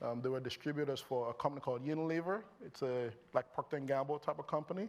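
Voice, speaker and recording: A speaker with a Nigerian accent talks at a very fast pace with ordinary pitch variation. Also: man, fairly high pitch for a man. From Nigeria, Lagos. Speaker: company founder and CEO. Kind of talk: on-stage interview. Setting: stage with audience. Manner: animated.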